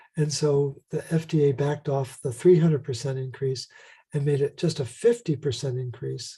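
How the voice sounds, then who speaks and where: A man's somewhat breathy voice, fairly high-pitched, with a dark, mellow tone, at a moderate pace over a quiet background. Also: ordinary pitch variation. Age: 60s. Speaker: health protocol creator and author. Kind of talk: interview.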